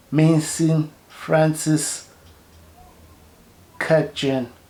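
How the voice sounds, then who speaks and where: Noticeable background noise is present. The intonation is monotone and flat. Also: man. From South Africa. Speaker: fragrance reviewer, YouTuber. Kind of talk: product review vlog. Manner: halting, many repetitions and fillers.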